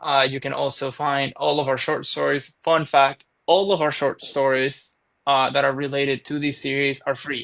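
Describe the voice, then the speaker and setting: Speaking in a monotone, flat intonation with hardly any pauses, a man talks at a fairly high pitch. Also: moderate pace. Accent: Venezuelan. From Venezuela. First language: Spanish. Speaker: author. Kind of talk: podcast interview.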